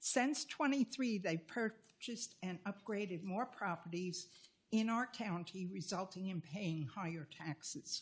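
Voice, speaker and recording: A woman speaks at a fairly slow pace in a medium-pitched, somewhat breathy voice with lively intonation. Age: 80s+. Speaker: resident making public comment. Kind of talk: public comment speech.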